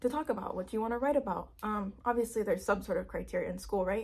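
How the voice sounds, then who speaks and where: The voice is somewhat breathy and dark, mellow in tone, with ordinary pitch variation. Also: woman. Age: 20s. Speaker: new YouTuber. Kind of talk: casual vlog monologue.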